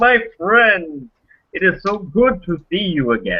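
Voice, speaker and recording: A man's put-on character voice, high in pitch and fairly slow in pace. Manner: warm, welcoming.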